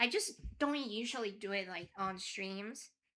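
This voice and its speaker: At a fairly slow pace, a woman speaks with a bright, sharp tone and lively intonation. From Mexico. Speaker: vtuber streamer and musician. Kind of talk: casual chat.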